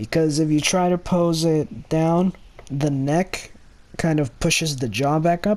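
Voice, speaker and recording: A man's fairly high voice at a fairly slow pace, with ordinary pitch variation and very even loudness. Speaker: toy reviewer. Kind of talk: product review. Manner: halting, many fillers; casual.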